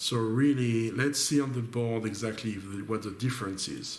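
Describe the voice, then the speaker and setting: A man with a French accent at a moderate pace, with audible room echo. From France. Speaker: board game streamer. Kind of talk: gameplay commentary. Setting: webcam recording at home. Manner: thinking aloud, hesitant.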